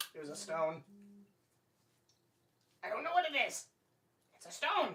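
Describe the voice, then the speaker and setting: The voice is a put-on character at a middle pitch. It moves at a moderate pace. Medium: actual play. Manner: evasive, wheedling.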